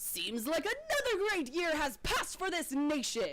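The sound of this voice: A woman's put-on character voice at an extremely high pitch, with light background noise.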